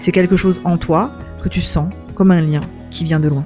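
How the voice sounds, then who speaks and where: A woman talks in a gentle tone at a fairly slow pace. Music plays in the background. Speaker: wellbeing practitioner. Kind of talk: introspective voice-over. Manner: gentle, soft-spoken.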